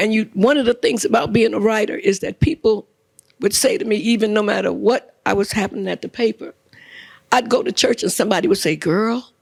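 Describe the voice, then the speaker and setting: A woman with an American accent, lively intonation and vocal fry. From New York City (Brooklyn, Lower East Side, East Harlem). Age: 70s. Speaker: retired newspaper columnist. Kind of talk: public conversation before a live audience. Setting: live event with audience.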